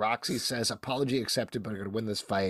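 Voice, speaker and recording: This man's voice has a dry, close sound with no echo. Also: very clean recording, silent background. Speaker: podcast host. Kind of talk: casual chat.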